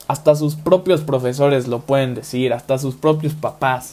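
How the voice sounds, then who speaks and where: A man with a fairly high pitch speaks in a dark, mellow tone that is somewhat breathy, with ordinary pitch variation. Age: 20s. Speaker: podcast host, university student. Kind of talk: motivational podcast monologue.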